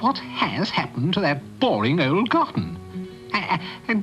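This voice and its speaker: Over clear music in the background, someone performs a put-on character voice at a low-to-middle pitch. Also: moderate pace. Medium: read story. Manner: stammering, hesitant.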